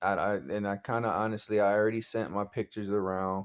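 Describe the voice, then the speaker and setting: In a very clean recording with a silent background, a man speaks at a fairly low pitch and moderate pace with monotone, flat intonation. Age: 20s. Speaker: vlogger, aspiring model. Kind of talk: casual vlog monologue. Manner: halting, repetitive.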